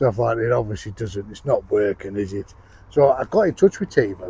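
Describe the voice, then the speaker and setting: A man speaks at a medium pitch with a northern English accent. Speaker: outdoors vlogger. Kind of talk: casual product review vlog. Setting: outdoors in woods.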